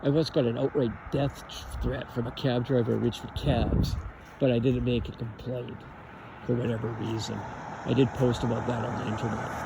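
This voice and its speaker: A man's medium-pitched voice with a Canadian accent, fairly even intonation and a moderate pace, over noticeable background noise. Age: 60s. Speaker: vlogger. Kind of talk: casual monologue.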